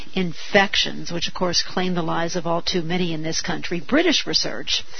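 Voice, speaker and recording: Noticeable background noise beneath a moderately paced, fairly low-pitched female voice. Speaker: radio host. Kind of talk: talk radio interview.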